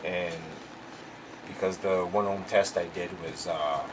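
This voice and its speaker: Recorded with audible room echo and noticeable background noise, a man speaks at a very slow pace. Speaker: car audio amplifier tester, YouTuber. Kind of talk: tutorial. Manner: halting, many fillers.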